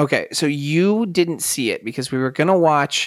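In a very clean recording with a silent background, a man uses an ordinary speaking voice, moving at a moderate pace with lively intonation. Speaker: podcast host. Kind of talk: casual banter, movie discussion.

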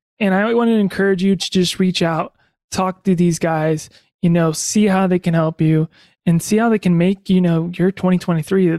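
At a moderate pace, a man with a high pitch speaks using fairly even intonation. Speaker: podcast host and producer. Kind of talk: casual interview.

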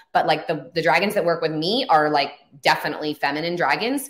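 This woman has an ordinary speaking voice with an American accent. Her pitch is fairly low and her pace moderate. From northern California, Humboldt County. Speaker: spiritual teacher and author. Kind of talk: interview.

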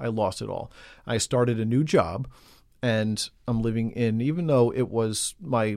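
In a very clean recording with a silent background, a man with an American accent uses a normal speaking voice at medium pitch with ordinary pitch variation. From New York City (Queens). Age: 30s. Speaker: recovering alcoholic. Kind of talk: testimony.

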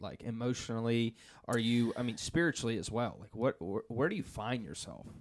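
A man with a normal speaking voice at a medium pitch talks at a fairly quick pace, with ordinary pitch variation and big swings in loudness. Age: 20s. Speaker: church podcast host. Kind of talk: casual interview.

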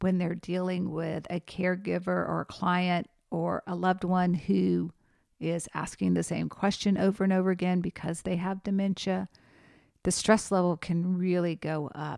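A woman's fairly low, dark, mellow voice at a moderate pace, on a very clean recording with a silent background and a dry, close sound with no echo. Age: 50s. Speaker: podcast host and geriatric nurse. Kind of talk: educational solo podcast.

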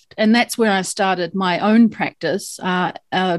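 A woman with a New Zealand accent speaks at a medium pitch in a very clean recording with a silent background. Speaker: lawyer. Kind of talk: interview.

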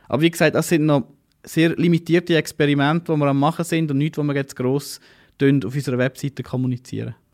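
The speech is very fast with fairly even intonation. The recording is very clean, with a silent background and a dry, close sound with no echo. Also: man, fairly high pitch for a man. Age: 30s. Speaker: startup founder and CEO. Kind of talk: interview.

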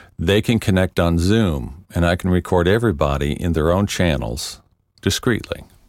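Very deep, low-pitched male voice with vocal fry, lively intonation and very even loudness, on a very clean recording with a silent background. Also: moderate pace. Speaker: podcast host and voice actor. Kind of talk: interview. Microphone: recorded locally, better quality.

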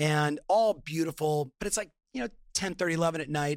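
A man with a Californian accent speaks at a moderate pace with ordinary pitch variation, and the sound is dry and close with no echo. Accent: Californian American. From Southern California. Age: 50s. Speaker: entrepreneur and business coach. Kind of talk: online summit interview.

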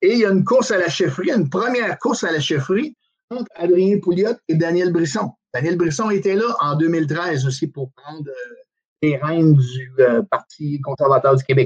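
Speaking at a moderate pace with lively intonation and a high pitch, a man is heard in a dry, close sound with no echo. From Quebec, Outaouais. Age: 50s. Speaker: bus driver and former political candidate. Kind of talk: casual political interview. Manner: halting, with frequent repetitions.

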